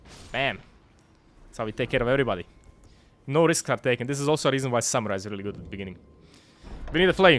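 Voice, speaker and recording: A man's very fast speech at medium pitch, broken by long, frequent pauses, with big swings in loudness. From Croatia. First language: Croatian. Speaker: video game streamer. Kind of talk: live gameplay stream chat. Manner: casual, halting with restarts.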